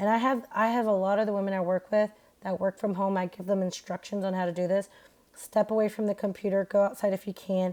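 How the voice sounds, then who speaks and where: A woman speaks at a very fast pace with a medium pitch and a dark, mellow tone. The recording is very clean, with a silent background. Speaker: podcast host, doctor. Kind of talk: solo podcast talk. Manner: loud; casual, filler-heavy.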